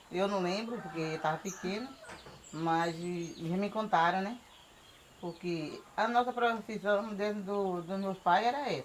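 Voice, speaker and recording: With noticeable background noise, a woman of medium pitch and ordinary pitch variation speaks at a fairly slow pace, leaving long, frequent pauses. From Bahia, Brazil. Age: 50s. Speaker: shellfish gatherer and farmer. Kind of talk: oral history interview.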